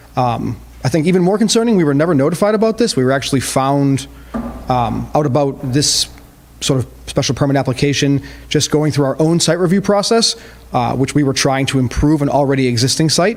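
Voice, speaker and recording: Over noticeable background noise, a man talks at a fairly quick pace. His pitch is fairly high and his loudness very even. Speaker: car wash owner speaking at public hearing. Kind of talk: public comment at council hearing. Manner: fast.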